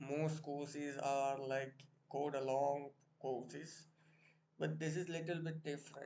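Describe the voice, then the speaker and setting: In an Indian accent, a man speaks at a very slow pace. His fairly high voice has monotone, flat intonation. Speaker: programming tutor. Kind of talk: tutorial.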